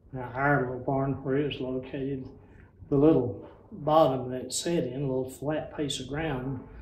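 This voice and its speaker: A man speaks fairly slowly in an Appalachian accent, somewhat breathy, with fairly even intonation. Room echo can be heard. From western North Carolina mountains. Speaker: retired rural mail carrier. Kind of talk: oral history interview answer. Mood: warm nostalgic reminiscing. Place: hall.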